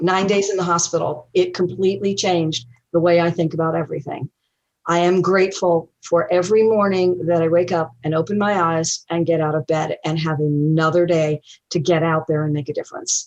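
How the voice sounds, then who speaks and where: A woman's fairly low-pitched voice with an American accent, fairly even intonation and a fairly quick pace. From US South. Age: 60s. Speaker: real estate investor. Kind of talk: interview. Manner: hesitant, many fillers.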